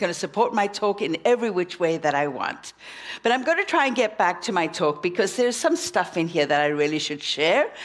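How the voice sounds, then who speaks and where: A woman with a South African accent speaks at a very fast pace, animated in tone with lively intonation. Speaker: minister. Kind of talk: sermon.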